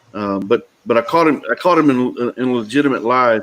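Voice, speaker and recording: In a Texas accent, a man speaks at a medium pitch. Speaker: talk show host. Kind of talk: casual chat. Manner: halting.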